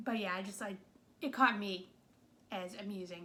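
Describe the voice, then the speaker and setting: A woman with a New England accent. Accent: New England American. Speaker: movie reviewer. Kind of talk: casual video review monologue. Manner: casual, filler-heavy.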